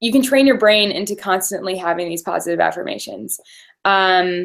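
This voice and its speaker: A woman talks at a fairly quick pace with lively intonation. The recording is very clean, with a silent background. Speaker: team coach. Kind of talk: team call talk. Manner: fast; animated.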